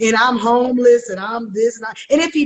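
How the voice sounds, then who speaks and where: A loud woman with an animated tone and lively intonation speaks at a moderate pace in a fairly high pitch. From Oakland, California. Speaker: actress. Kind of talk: interview.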